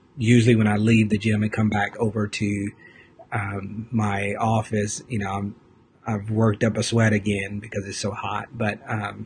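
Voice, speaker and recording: A man whispers quietly and somewhat breathily at a moderate pace. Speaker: fitness vlogger. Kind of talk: casual live video chat. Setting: office, live stream. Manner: quiet, almost whispering; hesitant, many fillers.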